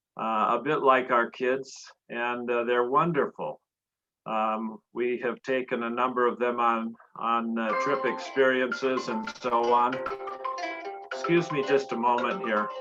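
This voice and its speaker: Over music in the background, a man speaks at a fairly slow pace. His pitch is medium and his intonation fairly even. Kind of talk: personal life story talk. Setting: video call.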